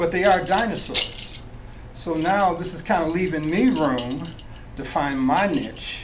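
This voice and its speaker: Someone with an American accent talks at a fairly slow pace with ordinary pitch variation, audible room echo and noticeable background noise behind them. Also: man, high pitch for a man. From Nebraska, US Midwest. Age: 70s. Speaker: jazz musician turned finance professional. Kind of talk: radio interview.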